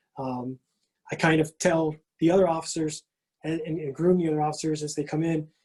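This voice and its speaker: A man with a fairly high pitch talks at a fairly quick pace in a monotone, flat manner, broken by long, frequent pauses. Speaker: award recipient, police officer. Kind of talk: acceptance speech. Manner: halting, many fillers and repetitions; strained to speak loudly.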